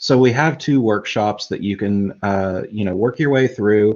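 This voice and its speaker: The man's voice sits at a fairly low pitch. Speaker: tech streaming co-host. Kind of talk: live tutorial stream. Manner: slow.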